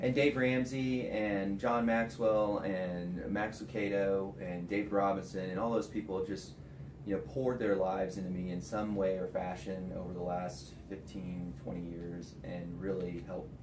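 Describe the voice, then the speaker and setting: With a very deep, low pitch, a man speaks at a moderate pace with ordinary pitch variation and hardly any pauses over noticeable background noise. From South Texas. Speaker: financial advisor. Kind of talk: interview answer. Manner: soft-spoken.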